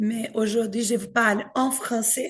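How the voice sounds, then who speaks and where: A woman in a Brazilian accent at a very slow pace. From Brazil, São Paulo. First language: Portuguese (speaking French). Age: 40s. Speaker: pastor in training. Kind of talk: talk to an audience.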